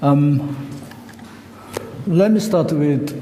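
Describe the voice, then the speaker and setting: A man speaks with a Korean accent and ordinary pitch variation. Audible room echo and noticeable background noise are in the recording. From South Korea. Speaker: lecturer. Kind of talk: lecture. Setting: stage with audience. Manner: halting.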